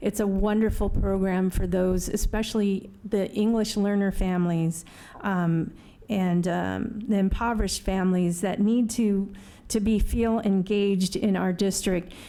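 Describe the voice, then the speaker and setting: Her tone dark and mellow, a woman speaks with flat, monotone intonation. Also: very even loudness. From US, Mexican immigrant parents. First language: Spanish. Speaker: school board candidate. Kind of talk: candidate forum answer.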